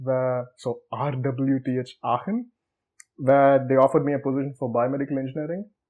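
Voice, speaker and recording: A man speaks with a Tamil accent at a medium pitch. His pace is fairly quick. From South India (Tamil Nadu). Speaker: researcher. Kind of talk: interview. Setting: studio. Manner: conversational, informal.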